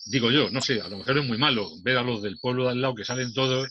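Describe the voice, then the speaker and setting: A medium pitch carries this voice. It belongs to a man. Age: 60s. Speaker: debate participant. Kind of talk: casual discussion. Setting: video call. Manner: halting.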